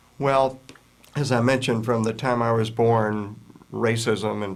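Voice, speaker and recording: At a moderate pace, a man with a medium pitch talks with fairly even intonation, and audible room echo fills the space. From US South, Virginia. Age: 60s. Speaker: author and anti-prejudice educator. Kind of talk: interview.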